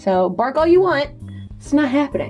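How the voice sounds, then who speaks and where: Over faint background music, a woman with a high pitch speaks at a fairly quick pace. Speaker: vlogger. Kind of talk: casual vlog chat.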